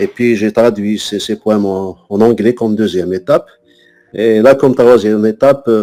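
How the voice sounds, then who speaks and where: The speaker talks at a fairly slow pace with fairly even intonation. Music plays in the background. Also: man. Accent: Algerian. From Algeria, Kabylie (Tizi Ouzou). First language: Kabyle (speaking French). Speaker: poet and French teacher. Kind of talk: interview. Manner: halting, many hesitations and repetitions.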